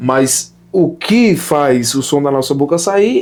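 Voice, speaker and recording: Lively intonation lifts a plain, everyday voice. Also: man. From Sertão of Pernambuco, Brazil. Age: 20s. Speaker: opera singer. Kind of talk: casual interview chat.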